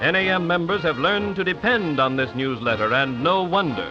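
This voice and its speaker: With music in the background, a man speaks at a high pitch and a fairly quick pace, his loudness very even while his pitch swings very widely. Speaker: narrator. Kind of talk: 1930s promotional film narration.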